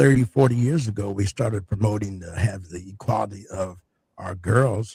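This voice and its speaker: A man's voice comes through fairly low and somewhat breathy. He speaks at a moderate pace, with big swings in loudness. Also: ordinary pitch variation. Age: 70s. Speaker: retired doctor and medical teacher. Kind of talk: radio interview. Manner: hesitant with frequent fillers.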